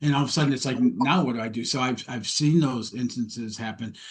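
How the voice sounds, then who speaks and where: A man talks in an American accent at a fairly quick pace. His voice is somewhat breathy. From US Midwest, Detroit, Michigan. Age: 60s. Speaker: mindset coach. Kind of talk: interview podcast chat.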